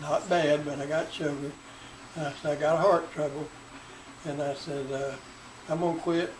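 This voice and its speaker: Noticeable background noise sits behind a man with a Southern US accent. He talks at a moderate pace, fairly high in pitch, with monotone, flat intonation. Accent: Southern US (Georgia). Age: 80s+. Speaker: retiree recounting his life. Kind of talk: oral history interview.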